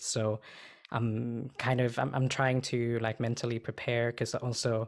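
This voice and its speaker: With monotone, flat intonation, a man speaks at a moderate pace and medium pitch in a very clean recording with a silent background. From Sweden. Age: 20s. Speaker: adoptee panelist, podcast co-host. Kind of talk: panel Q&A discussion. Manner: halting, many fillers.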